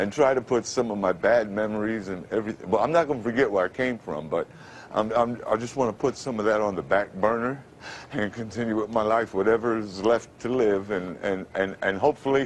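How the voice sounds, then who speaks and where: Speaking at a fairly quick pace with an American accent, a man has a fairly low pitch, ordinary pitch variation and an unremarkable speaking voice. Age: 50s. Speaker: formerly homeless radio announcer. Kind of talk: TV interview answer.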